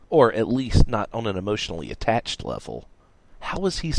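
Someone reads aloud. The voice is unforced.

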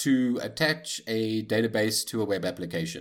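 Recorded very cleanly against a silent background, a man with a normal speaking voice talks at a fairly slow pace with ordinary pitch variation. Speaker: podcast co-host.

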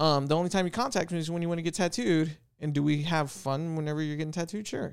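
A man's fairly high voice at a very fast pace, with ordinary pitch variation, on a very clean recording against a silent background. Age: 30s. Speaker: tattoo shop and gym owner. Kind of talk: casual chat.

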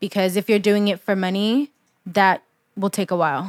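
With an American accent, a woman of medium pitch talks at a moderate pace in a dry, close recording with no echo, very clean and with a silent background. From England. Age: 20s. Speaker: university student, PR worker and blogger. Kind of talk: casual chat.

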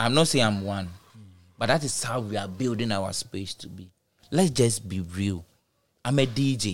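On a very clean recording with a silent background, a man with a Ghanaian accent talks at a moderate pace with ordinary pitch variation, big swings in loudness and long, frequent pauses. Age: 30s. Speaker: DJ and music artist. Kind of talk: casual chat.

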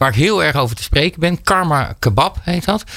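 An ordinary speaking voice from a man, with a moderate pace and lively intonation. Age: 40s. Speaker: radio host. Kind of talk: casual chat. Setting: studio.

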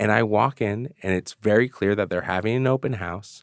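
A man with an American accent speaks in an ordinary speaking voice, fairly low in pitch and at a fairly quick pace. The sound is dry and close with no echo, on a very clean recording with a silent background. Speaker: author. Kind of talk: interview.

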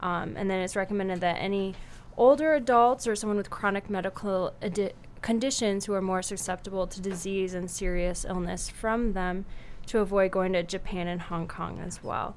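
Speaking with an Upper Midwest accent, a woman keeps her intonation fairly even. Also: medium pitch for a woman, moderate pace. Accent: Upper Midwest American. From South Dakota, Sioux Falls. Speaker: medical student. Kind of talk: radio interview.

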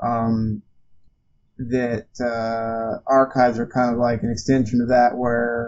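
A man's medium-pitched voice comes through with music in the background. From Alabama. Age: 30s. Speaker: archivist. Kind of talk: casual chat.

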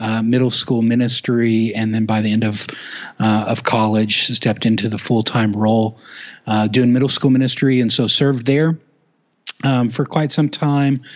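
An unremarkable speaking voice from a man with an American accent, at a moderate pace and very even loudness. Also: medium pitch for a man, fairly even intonation. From Oklahoma, US. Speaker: youth ministry resource founder. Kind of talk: casual interview.

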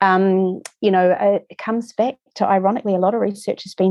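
A woman is speaking. She has a New Zealand accent. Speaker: lymphatic therapy practitioner. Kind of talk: interview conversation.

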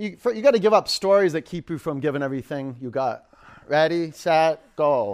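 This man has an unremarkable speaking voice, pitched fairly high. He talks at a fairly quick pace with lively intonation. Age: 50s. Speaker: yoga instructor. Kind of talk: live power yoga class instruction, shouted countdowns and cues over effort. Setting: yoga studio with live class. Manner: playful, joking asides to the class.

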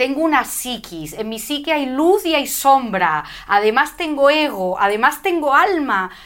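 With a high pitch and very wide pitch swings, a woman speaks at a fairly slow pace with hardly any pauses. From Spain, Madrid. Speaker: spiritual teacher and speaker. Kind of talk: interview.

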